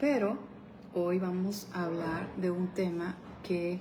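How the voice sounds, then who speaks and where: Soft-spoken and fairly low in pitch, a woman talks very slowly in a monotone, flat intonation, with audible room echo and noticeable background noise. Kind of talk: devotional talk.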